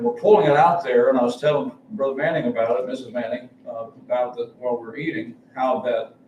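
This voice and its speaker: Noticeable background noise and audible room echo around a man's moderately paced speech. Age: 70s. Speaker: travelling preacher. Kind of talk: sermon. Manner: halting.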